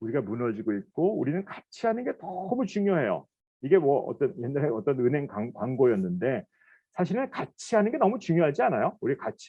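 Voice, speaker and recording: A man with a fairly high pitch speaks at a fairly quick pace in an animated tone, with very wide pitch swings. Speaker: professor. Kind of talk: lecture. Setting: recorded online lecture.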